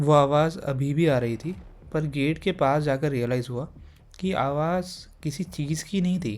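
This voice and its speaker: Calm in tone, a man speaks at a fairly high pitch. His pitch varies in an ordinary way. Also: very clean recording, silent background. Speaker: horror story narrator. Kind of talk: horror story narration. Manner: calm, conversational.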